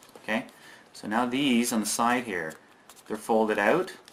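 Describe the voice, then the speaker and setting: A man with a fairly low pitch is talking. Noticeable background noise runs behind him. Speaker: origami tutorial youtuber. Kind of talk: tutorial.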